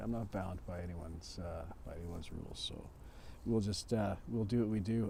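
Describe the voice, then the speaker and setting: In a Canadian accent, a dark, mellow tone moves at a moderate pace amid audible room echo. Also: man. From Canada. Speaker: musician livestreamer. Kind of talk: casual livestream chat.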